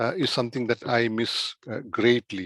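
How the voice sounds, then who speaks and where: In a dry, close sound with no echo, a man speaks with a Keralan accent. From India, Kerala. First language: Malayalam. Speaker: doctor. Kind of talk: interview. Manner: halting.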